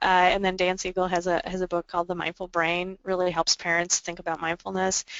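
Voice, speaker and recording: Keeping to a monotone, flat intonation, a woman of medium pitch speaks at a fairly quick pace with hardly any pauses. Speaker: adoption agency therapy presenter. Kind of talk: webinar presentation. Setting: webinar. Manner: fast; halting, many fillers and repetitions.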